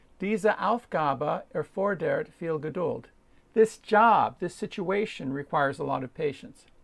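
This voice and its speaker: Speaking at a fairly slow pace, a man with a high-pitched voice makes very wide pitch swings. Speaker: German language learner video maker. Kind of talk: tutorial.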